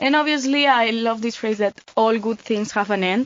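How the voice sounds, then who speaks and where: A woman speaks with a Spanish accent at a moderate pace. Her pitch is fairly high. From Spain, Mallorca. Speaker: volunteer. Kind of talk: casual chat.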